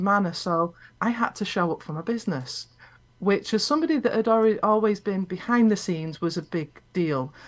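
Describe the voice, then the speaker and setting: A woman talks with a Scottish accent. Her medium-pitched voice has lively intonation. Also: very clean recording, silent background. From Scotland. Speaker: business owner and video coach. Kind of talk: interview.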